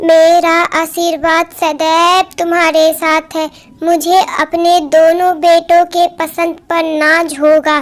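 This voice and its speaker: Using a cartoonish character voice, a woman speaks at an extremely high pitch, very slowly, in a monotone, flat intonation. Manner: commanding.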